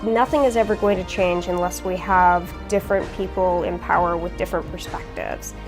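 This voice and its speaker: Music runs in the background behind a woman. She talks at a fairly quick pace with hardly any pauses. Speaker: state legislator, candidate who campaigned by door knocking. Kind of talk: interview answer, testimonial.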